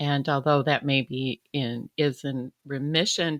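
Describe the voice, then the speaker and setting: In a very clean recording with a silent background and a dry, close sound with no echo, a woman speaks at a very slow pace in a very deep, low voice with ordinary pitch variation. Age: 60s. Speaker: recovering addict sharing her story. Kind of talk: interview testimony. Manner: halting, many fillers.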